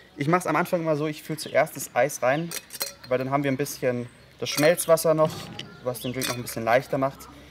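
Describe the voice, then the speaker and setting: A man at a fairly quick pace with ordinary pitch variation, over noticeable background noise. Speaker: bartender host. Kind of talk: tutorial. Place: garden. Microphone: studio mic.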